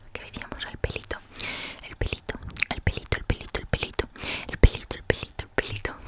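A woman whispers at a very fast pace. Her voice is soft-spoken. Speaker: ASMR creator. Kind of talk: whispered ASMR role-play. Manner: soft close-mic ASMR whisper. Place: home room. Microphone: studio mic.

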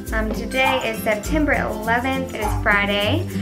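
A woman speaking at a fairly slow pace over loud background music. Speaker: fitness vlogger. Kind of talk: casual vlog chat. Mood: cheerful, upbeat. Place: home room. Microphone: camera far.

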